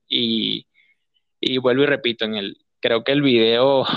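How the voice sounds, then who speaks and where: A man speaks at a fairly slow pace. His pitch is medium, with ordinary pitch variation. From Venezuela, Guárico state. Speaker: journalist, correspondent. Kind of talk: interview. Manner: halting, many repetitions.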